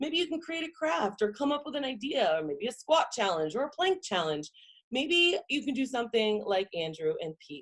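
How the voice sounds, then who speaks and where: Speaking with an American accent, a woman uses a high pitch and very wide pitch swings. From Boston area, US. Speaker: marketing consultant, webinar presenter. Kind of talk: online presentation / webinar talk. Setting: video call presentation from home. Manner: fast; animated.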